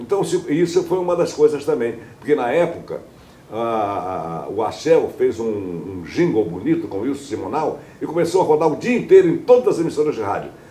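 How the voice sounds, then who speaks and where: Noticeable background noise under a man's moderately paced speech. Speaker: radio news announcer. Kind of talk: interview answer. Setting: home living room.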